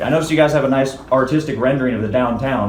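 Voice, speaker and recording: Amid noticeable background noise and audible room echo, a man talks at a very fast pace and a medium pitch. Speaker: street artist and protester. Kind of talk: heated debate. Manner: animated; loud.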